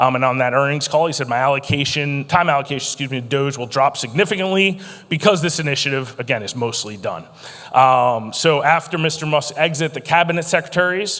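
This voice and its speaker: Amid noticeable background noise, a man speaks very fast at a fairly high pitch with ordinary pitch variation. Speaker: conference speaker, former federal procurement official. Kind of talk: conference keynote talk. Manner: animated, witty.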